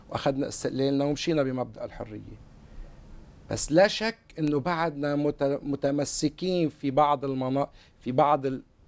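At a fairly slow pace, a man with a normal speaking voice and fairly high pitch talks in fairly even intonation. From Lebanon. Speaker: lawyer. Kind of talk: TV talk show discussion. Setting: studio. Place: studio. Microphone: lapel.

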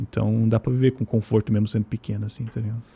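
The speech moves at a fairly quick pace. The voice sounds somewhat breathy. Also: man. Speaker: guest living in Japan. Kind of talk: casual chat. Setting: studio. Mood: relaxed, casual slang. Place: studio. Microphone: studio mic.

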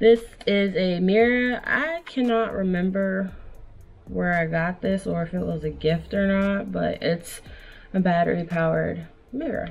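A woman's fairly slow speech over music in the background. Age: 20s. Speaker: vlogger. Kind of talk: casual talk to camera. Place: home room.

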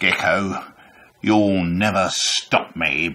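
Putting on a character voice, a man speaks at a very deep, low pitch with fairly even intonation. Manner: theatrical, dramatic.

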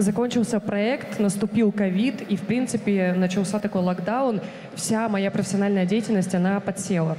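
A woman talks at medium pitch in a normal speaking voice, at a moderate pace with fairly even intonation and very even loudness, over light background noise. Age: 20s. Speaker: TV presenter candidate at casting; TV presenter. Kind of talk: job interview / casting. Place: stage. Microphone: handheld.

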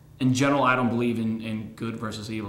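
Audible room echo and light background noise surround a man speaking at a fairly low pitch. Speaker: actor being interviewed. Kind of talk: interview answer. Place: meeting room.

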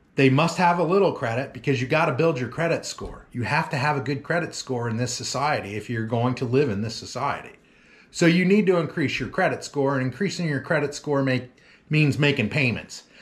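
A somewhat breathy man with an American accent, talking at a fairly quick pace with ordinary pitch variation. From Oklahoma. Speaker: lawn care business owner, vlogger; vlogger. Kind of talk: casual vlog talk to viewers. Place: home room. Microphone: phone near.

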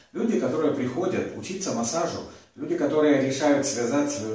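Audible room echo surrounds a man's speech. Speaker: massage teacher. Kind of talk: lecture. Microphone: camera far.

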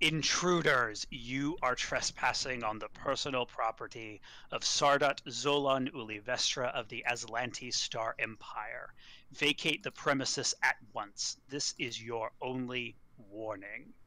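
A man does a gruff put-on character voice at a medium pitch and a fairly slow pace. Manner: stern, commanding.

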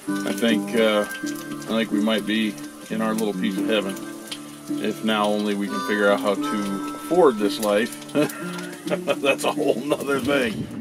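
A man talks at a moderate pace while music plays clearly in the background. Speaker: family travel vlogger. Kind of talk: casual vlog chat. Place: home room. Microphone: phone near.

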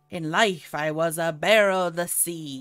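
Someone in a put-on character voice at a middle pitch talks at a moderate pace on a very clean recording with a silent background. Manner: put-on pirate voice.

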